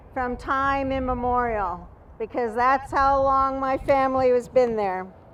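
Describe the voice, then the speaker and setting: The woman's pace is fairly slow. Her voice sits at a high pitch. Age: 60s. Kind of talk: rally speech.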